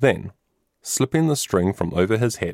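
A quiet backdrop behind plain reading aloud

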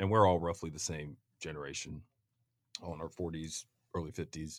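A man with an American accent at a moderate pace, in a very clean recording with a silent background. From Kansas City, Missouri, US Midwest. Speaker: lawyer and real estate developer. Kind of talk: casual chat. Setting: studio.

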